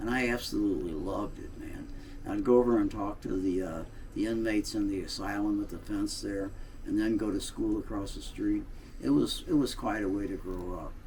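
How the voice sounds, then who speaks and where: A man with a St. Louis accent speaks at a fairly quick pace. Audible room echo surrounds his voice. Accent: Midwestern American (St. Louis). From US Midwest, St. Louis, Missouri. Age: 80s+. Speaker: political blogger, Navy veteran. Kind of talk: casual monologue, reminiscing. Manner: halting, many fillers.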